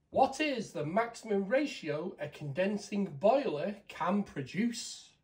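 A man talks slowly at a high pitch, with big pitch swings. Audible room echo surrounds his voice.

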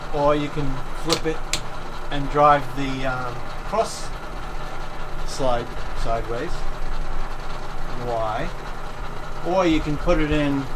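There's a man talking. Under his speech, background noise is noticeable. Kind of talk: casual show-and-tell demonstration. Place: workshop. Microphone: camera far.

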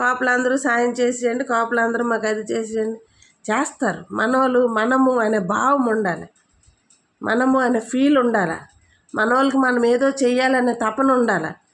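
Music plays behind a woman with a high voice. Her loudness stays very even. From Andhra Pradesh, East Godavari. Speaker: party women's wing leader. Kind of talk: political statement to camera. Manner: animated.

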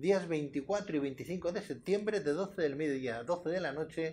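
The man speaks with ordinary pitch variation. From Spain. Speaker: TV presenter; TV show host. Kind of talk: TV interview. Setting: TV studio. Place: studio. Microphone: lapel.

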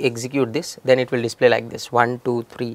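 A man speaks at a moderate pace in a dry recording with no echo. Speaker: programming instructor. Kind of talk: tutorial. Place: studio.

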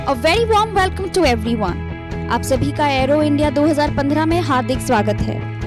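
Clear music plays in the background as a woman talks fairly quickly, her voice dry with no echo. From India. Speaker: event emcee. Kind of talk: live event hosting announcement. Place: hall. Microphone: handheld.

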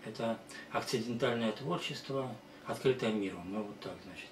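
A man with ordinary pitch variation, amid light background noise and audible room echo. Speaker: presenter. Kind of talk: presentation talk. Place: home room. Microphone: camera far.

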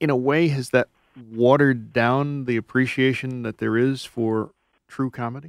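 A man talks at a moderate pace in a monotone, flat intonation. The sound is dry with no echo, over a quiet background. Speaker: radio host. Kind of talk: radio interview. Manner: formal. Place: studio.

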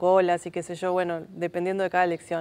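A woman is speaking. Her pitch sits fairly low. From Uruguay, Montevideo (Cerro); Uruguay. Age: 40s. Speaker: film researcher and teacher; teacher. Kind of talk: TV interview. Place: studio. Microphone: lapel.

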